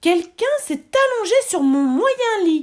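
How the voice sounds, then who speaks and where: A woman puts on a squeaky character voice at an extremely high pitch. She moves at a fairly slow pace with very wide pitch swings. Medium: read story.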